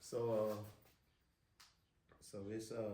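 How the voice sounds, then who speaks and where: A man with a Mississippi Delta accent, heard with audible room echo. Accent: Mississippi Delta Southern US. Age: 60s. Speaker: local business owner. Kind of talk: casual chat. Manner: halting.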